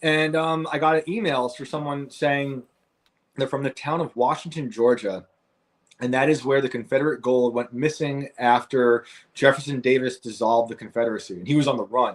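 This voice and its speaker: Here a man speaks with a northern US accent at a medium pitch. His pace is moderate and his pitch variation ordinary. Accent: northern US (Yankee). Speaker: author and podcast host. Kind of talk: interview. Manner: halting, with fillers.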